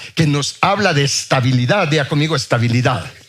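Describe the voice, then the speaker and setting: A man with a fairly high pitch talks with lively intonation while noticeable background noise plays behind him. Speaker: preacher. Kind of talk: sermon.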